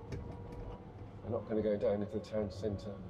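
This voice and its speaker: A man with an English accent and fairly low pitch at a moderate pace, over noticeable background noise. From England. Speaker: travel vlogger. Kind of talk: casual driving vlog commentary. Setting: in a car. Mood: relaxed, chatty. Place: car. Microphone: camera far.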